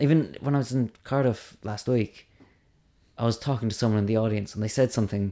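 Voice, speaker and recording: In a Cork accent, a man with a dark, mellow tone and fairly low pitch speaks at a very fast pace with ordinary pitch variation, on a very clean recording with a silent background. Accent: Cork Irish. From Ireland, Cork. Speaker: stand-up comedian. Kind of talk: casual interview.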